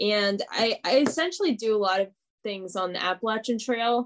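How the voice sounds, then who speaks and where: A woman speaks with a fairly high pitch. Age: 20s. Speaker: ultrarunner and thru-hiker. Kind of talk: casual interview. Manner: animated.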